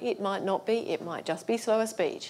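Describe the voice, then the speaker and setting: A woman speaks with an Australian accent and ordinary pitch variation. The recording is very clean, with a silent background. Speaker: accessibility consultant. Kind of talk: conference talk. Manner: fast.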